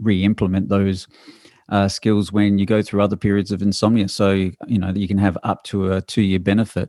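Fairly low in pitch, a man with an Australian accent speaks at a moderate pace. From Adelaide, South Australia. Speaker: university sleep researcher, professor. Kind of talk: interview, explaining research.

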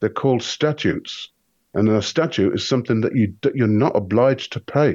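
Speaking at a moderate pace with an English accent, a man uses lively intonation in a dark, mellow tone. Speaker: conspiracy researcher. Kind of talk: casual chat.

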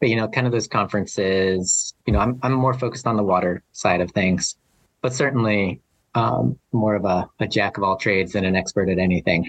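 With an American accent and a plain, everyday voice, a man speaks at a fairly quick pace in a fairly low pitch with ordinary variation, his loudness very even and the sound dry and close with no echo. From Arizona (Flagstaff). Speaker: hydrologist. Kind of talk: interview.

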